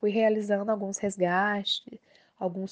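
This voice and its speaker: Against a quiet background, with dry, close sound and no echo, a woman speaks at medium pitch and a fairly slow pace in a monotone, flat intonation. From Minas Gerais, Brazil. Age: 30s. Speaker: social worker, listener. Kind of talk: recorded personal testimony.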